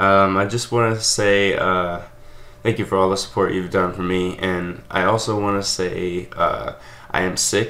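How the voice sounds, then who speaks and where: This man has an ordinary speaking voice, fairly low in pitch, and he talks at a fairly slow pace. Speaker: channel host. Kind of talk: casual vlog chat. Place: home room. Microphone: webcam.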